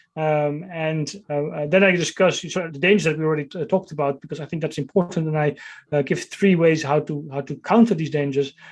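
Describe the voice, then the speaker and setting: Talking at a very fast pace with fairly even intonation, a man with a Dutch accent has a fairly high pitch. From Netherlands. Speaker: author and tech strategist. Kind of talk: interview. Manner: halting, many fillers and repeats.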